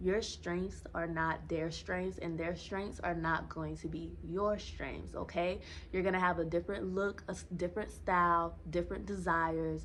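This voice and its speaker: A woman speaks at a moderate pace with hardly any pauses. Audible room echo surrounds her voice. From US South, Savannah, Georgia. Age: 20s. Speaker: dating and self-help vlogger. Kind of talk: casual vlog talk to camera.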